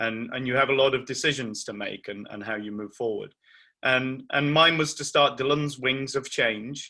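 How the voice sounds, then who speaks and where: A man with an English accent speaks at a medium pitch in a bright, sharp tone, his loudness swinging widely. The recording is very clean with a silent background. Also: fairly even intonation, moderate pace. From England. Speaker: charity founder, bereaved parent. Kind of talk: talk to parents.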